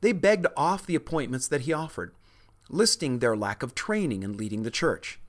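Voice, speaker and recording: Over a quiet background, someone talks at a moderate pace. Their pitch swings very widely. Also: man. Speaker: history podcast narrator. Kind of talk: history documentary narration. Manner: measured, even-paced, formal storytelling.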